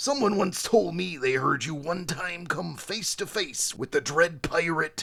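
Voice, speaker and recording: In a put-on character voice, a man speaks raspily at a high pitch with lively intonation at a moderate pace, hardly pausing at all. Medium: read story.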